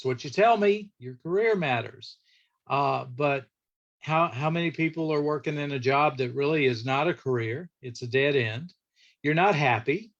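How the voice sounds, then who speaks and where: A man with an unremarkable speaking voice talks at a moderate pace and fairly high pitch, using lively intonation. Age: 60s. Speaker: church guest speaker and lawyer. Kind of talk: church class talk. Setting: livestreamed virtual church class. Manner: conversational.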